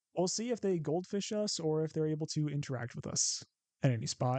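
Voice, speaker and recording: Recorded dry and close with no echo against a quiet background, a man with a Midwestern accent talks at a moderate pace in a dark, mellow tone, his fairly high pitch making very wide swings. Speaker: card game content creator. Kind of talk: gameplay commentary. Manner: casual, thinking aloud.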